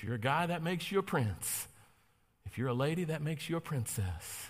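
In an American accent, a man speaks in an animated tone, somewhat breathy, with very wide pitch swings. The recording is very clean and the background silent. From North Carolina. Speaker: pastor. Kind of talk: sermon. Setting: church with congregation. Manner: animated, preacherly.

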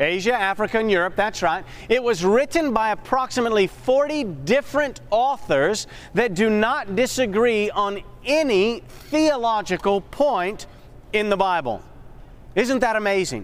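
The delivery is animated in tone and fairly slow in pace. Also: man, high pitch for a man, lively intonation, very even loudness. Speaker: Bible study instructor. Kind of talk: interactive Bible class lecture. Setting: classroom with live audience. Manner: animated, call-and-response questioning.

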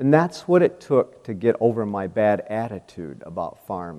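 A man with an Upper Midwest accent has a dark, mellow tone. His pitch swings very widely. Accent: Upper Midwest American. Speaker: farmer and speaker. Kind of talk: devotional testimony.

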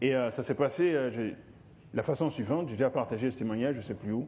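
A man's medium-pitched voice rises and falls in an ordinary way as he talks at a moderate pace. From Africa. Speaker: lay preacher. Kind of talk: sermon.

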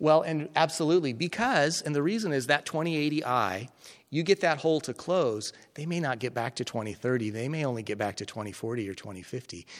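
Talking at a very fast pace, a man with a fairly high pitch speaks with a General American accent. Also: lively intonation, very clean recording, silent background. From Colorado. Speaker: eye surgeon and medical educator. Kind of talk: lecture. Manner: hesitant, many fillers.

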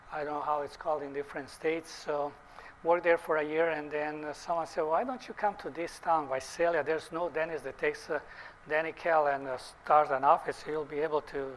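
With a Bosnian accent, a man talks at a fairly quick pace in a fairly high pitch with fairly even intonation. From Bosnia (former Yugoslavia). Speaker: dentist. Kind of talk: lecture. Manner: halting.

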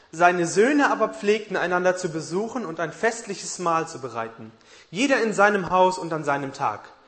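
A man speaks at a moderate pace with a high pitch and lively intonation. There is noticeable background noise. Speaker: interpreter. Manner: formal.

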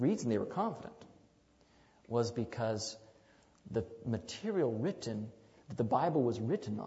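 Somewhat breathy, the voice belongs to a man speaking at medium pitch. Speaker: preacher. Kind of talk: sermon to a congregation, Bible teaching with prayer. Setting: church. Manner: conversational and unhurried, with small hesitations and 'um' fillers; warm, inviting, calls for congregational 'amen' replies.

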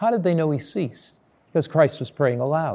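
Fairly high in pitch for a man, his voice has a dark, mellow tone and ordinary pitch variation. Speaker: pastor. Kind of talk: sermon with opening and closing prayer; fervent spoken prayer, intimate and pleading. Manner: earnest, warmly reverent prayer tone; conversational storyteller with rhetorical questions.

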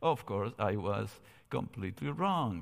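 A man's fairly slow speech with a Spanish accent, on a very clean recording with a silent background. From Argentina, Cordoba. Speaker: theology professor. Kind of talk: seminar lecture. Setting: church sanctuary, streamed.

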